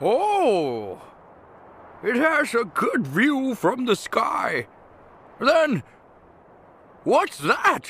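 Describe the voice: Using a cartoonish character voice at an extremely high pitch, a man talks at a very slow pace with long, frequent pauses and very even loudness.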